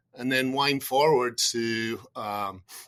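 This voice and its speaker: Bright and sharp, a voice with a Scottish accent keeps fairly even intonation in a very clean recording with a silent background. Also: man. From Scotland. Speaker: insurance research executive. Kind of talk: podcast interview.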